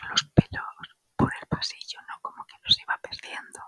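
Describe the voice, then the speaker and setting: A woman whispering in a relaxed tone at a fairly slow pace. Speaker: ASMR creator and spiritual wellness channel host. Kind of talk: ASMR whispered anecdotes. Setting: home recording with microphone. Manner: whispered, soft, relaxed.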